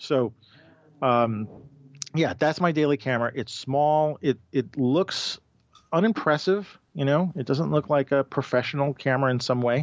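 A man speaks with a New York accent. His pitch is fairly high and his pace moderate. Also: ordinary pitch variation. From New York City. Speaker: street photographer and podcaster. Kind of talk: casual interview chat.

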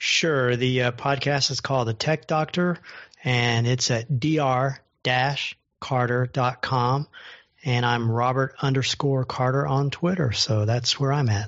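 A man with an unremarkable speaking voice talks at medium pitch and a fairly slow pace, his loudness very even and his intonation fairly even. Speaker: accessibility podcaster. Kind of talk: casual panel discussion.

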